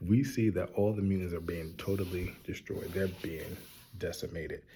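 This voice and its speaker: Someone whispers quietly at a moderate pace, sounding somewhat breathy. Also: man. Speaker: TV show reviewer. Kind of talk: casual review. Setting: public library. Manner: whispering, quiet; animated.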